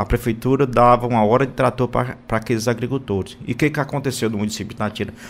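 The speech runs at a very fast pace with hardly any pauses. Intonation stays fairly even. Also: man, medium pitch for a man. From Brazil, sertão central of Ceará (Boa Viagem); Ceará, Brazil. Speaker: state politician. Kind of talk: radio interview. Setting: radio studio. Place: studio.

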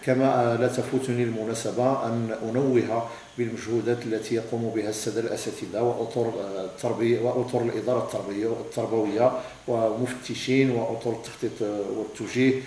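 The delivery is monotone, with flat intonation. Light background noise and audible room echo sit behind the voice. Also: man. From Morocco. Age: 50s. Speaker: regional education official. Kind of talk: interview. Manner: formal. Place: office. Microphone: camera far.

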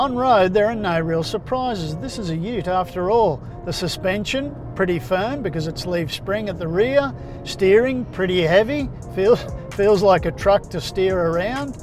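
Clear music plays in the background as a man talks at a moderate pace, the sound dry with no echo. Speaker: car reviewer. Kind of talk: review commentary. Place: car.

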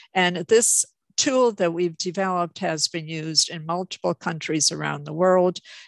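Against a quiet background with a dry sound and no echo, a woman speaks at a fairly low pitch, a moderate pace and with fairly even intonation. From Canada. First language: Ukrainian. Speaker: professor. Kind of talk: lecture. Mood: warm, grateful closing. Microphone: video call.

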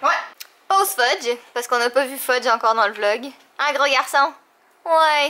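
A woman speaks with a Quebec accent, her voice high in pitch. Her pace is moderate and her pitch varies in an ordinary way. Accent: Québécois French. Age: 20s. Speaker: vlogger. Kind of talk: casual vlog talk. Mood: affectionate, playful. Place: home room. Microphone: phone near.

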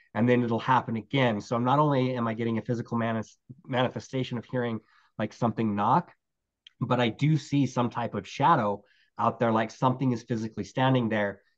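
An ordinary speaking voice goes at a fairly quick pace with fairly even intonation. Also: man, medium pitch for a man. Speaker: podcast co-host. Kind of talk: casual chat.

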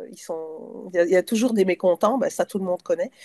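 Against a quiet background, a woman talks in a dark, mellow tone. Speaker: participant. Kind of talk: storytelling. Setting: video call. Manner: hesitant. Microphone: video call.

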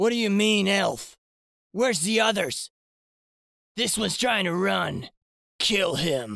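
A man speaks in a raised, projected voice that is raspy and high-pitched. His pace is fairly slow, with long, frequent pauses. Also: very even loudness. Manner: rough, menacing.

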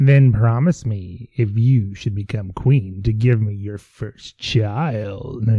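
Putting on a character voice, a man speaks at a medium pitch and a very slow pace with hardly any pauses. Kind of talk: comic fairy tale reading. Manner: demanding, gloating.

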